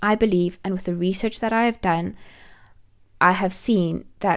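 A woman speaks at a medium pitch in a South African accent, at a moderate pace. Her pitch varies in an ordinary way, and the recording is very clean with a silent background. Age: 20s. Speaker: life coach and podcast host. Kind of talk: personal story monologue.

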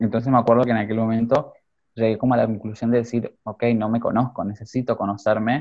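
A man's medium-pitched voice at a very fast pace, with monotone, flat intonation. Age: 20s. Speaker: fashion designer and youth academy director. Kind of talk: interview.

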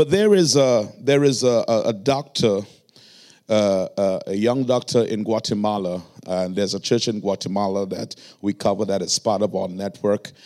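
A man with a Trinidadian accent speaks at a moderate pace in a fairly low pitch, his dark, mellow tone moving with ordinary pitch variation on a very clean recording with a silent background. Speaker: pastor. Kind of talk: sermon. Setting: church.

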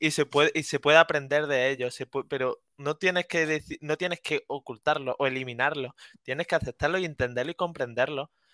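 A man talks at a fairly quick pace in a bright, sharp tone with fairly even intonation. The sound is dry and close with no echo, on a very clean recording with a silent background. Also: fairly high pitch for a man. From Andalusia, Córdoba. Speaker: student. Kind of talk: casual chat.

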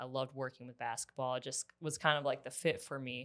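A woman with an American accent and a very deep, low pitch speaks at a fairly quick pace. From US Midwest, Wisconsin. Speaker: college basketball performance coach. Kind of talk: casual interview.

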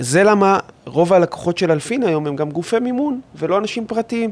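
Very wide pitch swings mark this man's voice, recorded with a dry, close sound and no echo. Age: 30s. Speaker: mortgage adviser and company owner. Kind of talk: interview.

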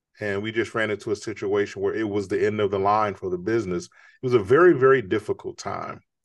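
A man with an American accent at a very fast pace, hardly any pauses, ordinary pitch variation, and a quiet background. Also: fairly low pitch for a man. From Chicago. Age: 50s. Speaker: author and entrepreneur. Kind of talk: interview.

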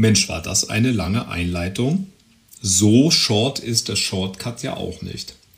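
A man speaks at a very slow pace, his pitch fairly low. Noticeable background noise runs under his voice. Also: ordinary pitch variation. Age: 40s. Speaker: podcast host. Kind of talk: solo monologue. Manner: hesitant with fillers.

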